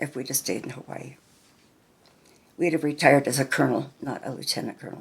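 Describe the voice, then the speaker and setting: With a very deep, low pitch and vocal fry, a woman talks at a fairly quick pace with fairly even intonation, big swings in loudness and long, frequent pauses. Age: 70s. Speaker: grandmother interviewed about her life. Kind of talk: family oral history interview.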